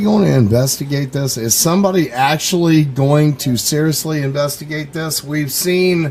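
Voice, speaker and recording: With ordinary pitch variation, a man talks at a moderate pace as noticeable background noise carries on. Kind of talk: internet radio interview. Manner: hesitant, many fillers.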